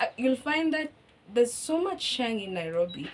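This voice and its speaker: Noticeable background noise accompanies a high-pitched woman with a Kenyan accent who talks at a fairly quick pace with very wide pitch swings. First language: Kikuyu. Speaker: language teacher. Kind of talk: casual chat.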